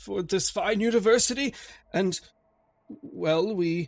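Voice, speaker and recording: A shaky put-on character voice with lively intonation. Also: man. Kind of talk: 1920s formal speech. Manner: weak, shaky, remorseful, confessional.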